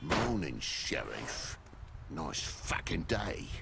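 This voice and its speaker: Someone uses a put-on character voice at a very slow pace. Loud background noise runs underneath. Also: man, very deep, low pitch for a man. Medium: video game. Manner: gruff, profane, griping.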